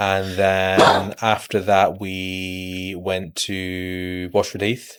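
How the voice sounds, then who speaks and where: A man's very deep, low pitch, very slow pace, monotone, flat intonation and hardly any pauses. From Birmingham, England (early years Manchester, Pakistan). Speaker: financial advisor. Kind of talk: casual interview. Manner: hesitant, many fillers.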